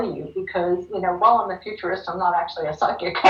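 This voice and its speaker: A woman with an American accent speaks as noticeable background noise runs behind her. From Philadelphia, US. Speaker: futurist keynote speaker. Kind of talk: Q&A after a virtual keynote. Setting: video call. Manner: animated.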